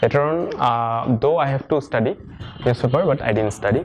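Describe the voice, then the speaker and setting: At a moderate pace, a man with a medium pitch and ordinary pitch variation speaks over noticeable background noise. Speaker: civil servant giving exam advice. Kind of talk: talk to students. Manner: halting, many fillers.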